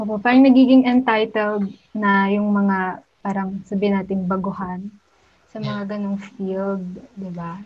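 A somewhat breathy woman at medium pitch, fairly slow and fairly even in intonation, with big swings in loudness. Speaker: podcast host. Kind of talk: podcast interview.

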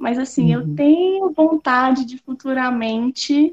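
Slowly but not too slowly, a woman talks at a fairly slow pace with a high pitch and ordinary pitch variation. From Espírito Santo, Brazil. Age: 20s. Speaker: artist and university student. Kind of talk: casual interview.

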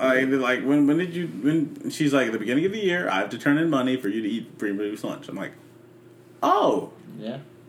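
Amid noticeable background noise and audible room echo, a man talks at a fairly quick pace in a fairly high pitch with lively intonation. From Memphis, Tennessee. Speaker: podcast guest. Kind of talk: casual chat.

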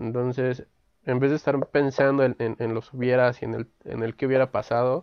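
At a moderate pace, a man speaks at medium pitch in a flat, monotone way. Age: 20s. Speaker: podcast host, sociology graduate. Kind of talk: casual chat. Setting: video call from home. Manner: halting, repeats words.

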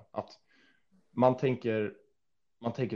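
The man's tone is dark and mellow. Nothing stirs behind him in the quiet background. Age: 20s. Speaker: fitness influencer and student. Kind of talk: casual chat.

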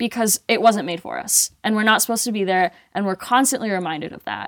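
A woman speaks in a normal speaking voice at a fairly quick pace, her fairly high pitch moving with ordinary variation, in a dry, close recording with no echo and a silent, very clean background. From Colombia (Medellin), raised in US from age 8. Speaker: mountain athlete and skier. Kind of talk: casual interview chat.

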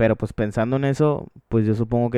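A man's medium-pitched voice with a Mexican accent, dark and mellow in tone, fairly quick and fairly even in intonation, dry and close with no echo. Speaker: podcast host. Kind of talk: casual chat.

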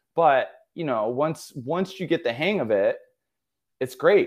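A man with an American accent talks at a moderate pace in a normal speaking voice with ordinary pitch variation. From central New York. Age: 40s. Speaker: personal trainer. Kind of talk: casual chat.

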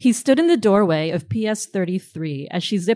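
An unremarkable speaking voice with an American accent and lively intonation, at a moderate pace. The recording is very clean, with a silent background. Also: woman. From New Jersey. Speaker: novelist. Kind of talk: reading aloud.

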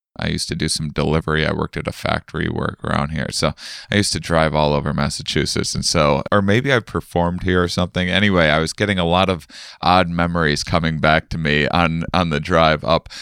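A man with an American accent talks at a very fast pace with fairly even intonation, recorded in a dry, close sound with no echo. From US Midwest, Wisconsin. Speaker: podcast host and comedian. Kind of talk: casual interview.

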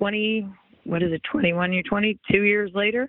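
A woman's ordinary speaking voice, medium in pitch, with fairly even intonation. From US West Coast, Los Angeles area. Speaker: former sports anchor, now realtor. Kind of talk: podcast interview.

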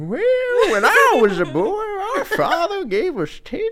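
Clear background noise behind a put-on character voice, the pace fairly slow. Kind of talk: archaic, old-fashioned. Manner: grumbling, reminiscing.

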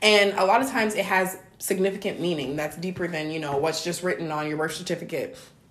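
A woman's fairly low voice with ordinary pitch variation, very fast with hardly any pauses, over noticeable background noise. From born in Africa, raised in US. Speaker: podcast host. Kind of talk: casual chat.

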